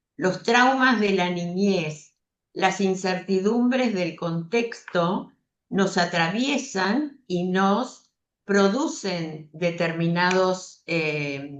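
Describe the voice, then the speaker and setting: With lively intonation, a woman delivers her words at a very slow pace. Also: medium pitch for a woman. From Argentina. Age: 70s. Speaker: psychologist. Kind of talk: interview conversation. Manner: hesitant with fillers.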